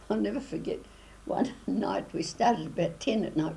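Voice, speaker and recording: With a New Zealand accent, a woman talks at a fairly quick pace in a dark, mellow voice with vocal fry. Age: 80s+. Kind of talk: interview answer.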